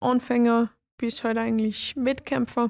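In a Salzburg accent, a woman with a fairly high pitch speaks at a fairly slow pace in a monotone, flat intonation, the sound dry and close with no echo. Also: very clean recording, silent background. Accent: Austrian German (Salzburg). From Austria, Salzburg. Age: 20s. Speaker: kickboxer. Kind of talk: interview.

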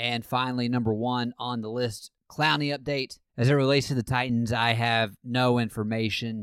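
A man's ordinary speaking voice, medium in pitch, fairly even in intonation, at a moderate pace with hardly any pauses. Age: 20s. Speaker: sports podcast host. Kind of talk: casual chat.

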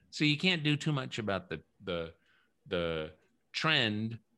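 In a bright, sharp tone, a man speaks with an American accent. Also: very clean recording, silent background. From US South, New Orleans. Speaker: author and radio host. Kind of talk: interview. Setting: home studio.

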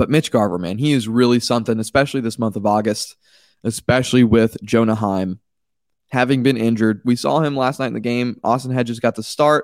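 He speaks at a fairly quick clip in an ordinary speaking voice. His pitch sits in the medium range, with ordinary pitch variation. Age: 20s. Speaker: baseball podcast host. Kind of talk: solo sports podcast commentary.

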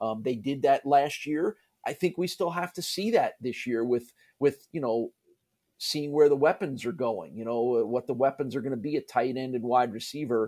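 On a very clean recording with a silent background, a man with an American accent speaks at a moderate pace in a medium pitch, with a dark, mellow tone and ordinary pitch variation. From US Northeast (New Jersey, New York area). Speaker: college sports play-by-play broadcaster. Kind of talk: casual interview.

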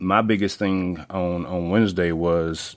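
A man's very deep, low voice in a Southern US accent, flat and monotone, on a very clean recording with a silent background. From North Carolina small town. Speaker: sports podcast host. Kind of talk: casual monologue. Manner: hesitant with many fillers.

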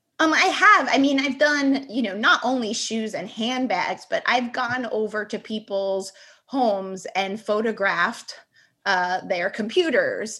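Bright and sharp in tone, a woman with an American accent talks with lively intonation at a fairly high pitch. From New York City (Bronx). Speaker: cake designer and instructor. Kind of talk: casual interview.

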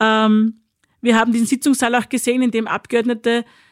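A woman speaks at a moderate pace and a fairly high pitch, in an unremarkable speaking voice. The recording is very clean, with a silent background. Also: dry, close sound with no echo. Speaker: president of a political academy. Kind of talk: discussion. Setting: studio.

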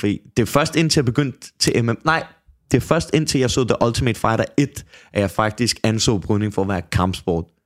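A man speaks in a plain, everyday voice at a moderate pace. His pitch sits in the medium range with ordinary variation. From Copenhagen, Denmark. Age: 20s. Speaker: MMA fighter. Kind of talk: casual chat.

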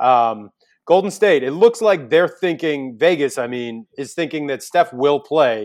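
Lively intonation rides an American accent at a fairly slow pace. The recording is very clean, with a silent background. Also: man. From New York. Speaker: sports betting podcast host. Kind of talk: casual chat.

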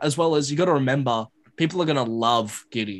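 A man talks with an Australian accent at a moderate pace. His fairly high pitch shows ordinary variation against a quiet background. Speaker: basketball reporter. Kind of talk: podcast interview.

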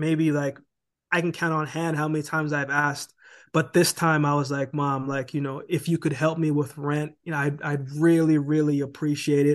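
Delivered at a moderate pace, the voice stays monotone with flat intonation. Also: man, fairly high pitch for a man, quiet background. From Jamaica. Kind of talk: casual interview chat. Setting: podcast interview. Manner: conversational, reflective.

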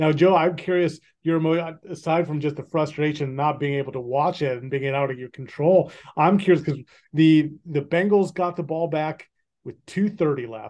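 A man with an American accent talks in an unremarkable speaking voice, pitched fairly high, with fairly even intonation at a moderate pace. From Kansas City, US. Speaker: sports podcast host, sportswriter. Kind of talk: casual sports chat.

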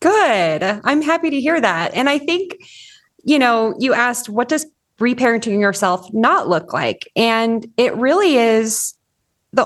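A woman with a Californian accent speaks at a fairly slow pace in a fairly high pitch, her pitch swinging very widely. The background is quiet. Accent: Californian American English. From US West Coast, Orange County, California. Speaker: parenting coach. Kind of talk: interview conversation.

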